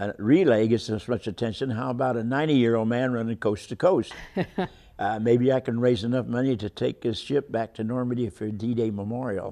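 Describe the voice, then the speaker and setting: Speaking at a fairly quick pace, a man has a dark, mellow tone. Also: fairly even intonation, quiet background. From Kansas, grew up partly in Los Angeles area. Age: 80s+. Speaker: World War Two Navy veteran and long-distance runner. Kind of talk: interview answer. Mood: warm, reminiscing. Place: studio. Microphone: lapel.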